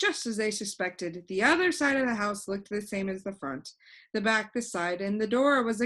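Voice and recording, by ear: Here a text is read aloud in a natural voice.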